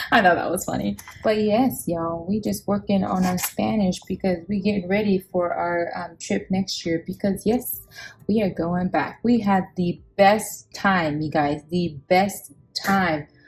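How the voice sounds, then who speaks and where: A woman's somewhat breathy voice at a medium pitch. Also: ordinary pitch variation. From Samoa. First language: Samoan. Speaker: budgeting vlogger. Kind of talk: casual chat. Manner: animated.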